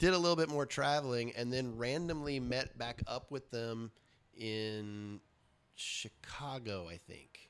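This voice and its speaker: A man with an American accent speaks at a fairly slow pace in an unremarkable speaking voice, his medium pitch showing ordinary variation, in a very clean recording with a silent background. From US South, Richmond, Virginia. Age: 40s. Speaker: punk musician and comic artist. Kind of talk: casual interview.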